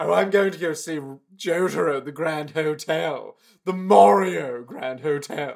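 A man's put-on character voice, fairly high-pitched and lively, at a moderate pace. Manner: silly, dumb voice.

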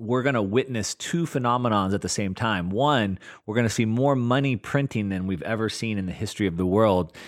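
A man talks in a normal speaking voice at a medium pitch and a fairly quick pace, with ordinary pitch variation. The recording is very clean with a silent background. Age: 40s. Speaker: investor and market analyst. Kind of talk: casual interview.

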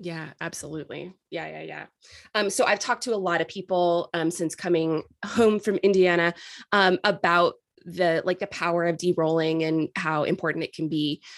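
Speaking at a moderate pace with fairly even intonation, a woman has a fairly low pitch and an ordinary speaking voice. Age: 40s. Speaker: podcast host. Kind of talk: casual interview chat.

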